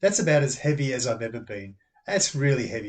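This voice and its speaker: Using an Australian accent, a man speaks at a fairly quick pace in a fairly high pitch. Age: 60s. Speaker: amateur tennis player. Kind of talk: casual talk to camera.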